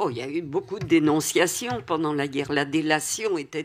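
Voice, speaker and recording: The woman's pitch is very deep and low. She uses ordinary pitch variation. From Paris. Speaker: Holocaust survivor. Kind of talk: testimony.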